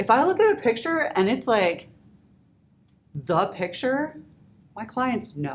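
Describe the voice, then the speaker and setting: Speaking at a very slow pace with long, frequent pauses, a woman uses a fairly high pitch, very wide pitch swings and vocal fry. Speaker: wedding photographer teaching photographers. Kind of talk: tutorial. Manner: loud and excitable.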